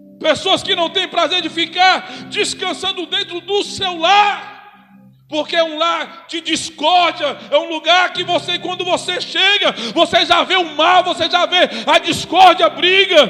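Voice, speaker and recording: A man's raised, projected voice at an extremely high pitch, fairly slow and monotone, flat, with noticeable background noise. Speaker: preacher. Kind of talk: sermon. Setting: church.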